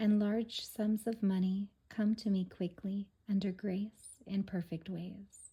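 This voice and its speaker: A soft-spoken woman's somewhat breathy, soothing voice, dark and mellow in tone, medium in pitch, very slow, in a monotone, flat intonation. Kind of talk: soft-spoken reading of quotes and affirmations for relaxation. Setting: home recording for relaxation and sleep. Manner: soft-spoken, soothing.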